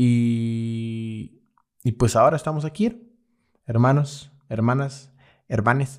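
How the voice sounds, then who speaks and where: Speaking at a very slow pace, a man with a medium pitch uses ordinary pitch variation. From Mexico, Veracruz. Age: 20s. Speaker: graphic designer. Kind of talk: personal storytelling monologue. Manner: hesitant, many fillers.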